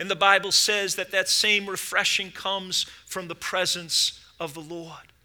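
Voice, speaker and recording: A man's raised, projected voice, both warm and bright and sharp in tone, moves at a fairly slow pace with fairly even intonation. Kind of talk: sermon. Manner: fervent, exhortative pulpit delivery with call-and-response "amen" prompts; warm, urgent, rising to an invitational plea.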